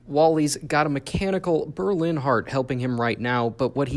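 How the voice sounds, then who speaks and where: A man uses a normal speaking voice with ordinary pitch variation, keeping a moderate pace. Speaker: TV news reporter and anchor. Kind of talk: TV news report delivered to camera. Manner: serious, somber, measured.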